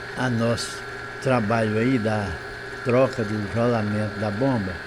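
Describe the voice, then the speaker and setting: Amid audible room echo and noticeable background noise, a man of medium pitch speaks at a fairly slow pace with fairly even intonation and long, frequent pauses. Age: 70s. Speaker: handyman / repair tradesman. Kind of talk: tutorial. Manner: casual, repetitive.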